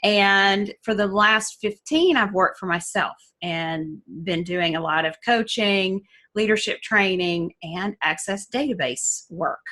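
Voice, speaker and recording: Speaking at a fairly slow pace in a Southern US accent, a woman has a bright, sharp tone against a quiet background. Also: medium pitch for a woman, ordinary pitch variation. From US South (Alabama, Georgia). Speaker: essential oils educator, coach. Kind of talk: online class. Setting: Zoom class.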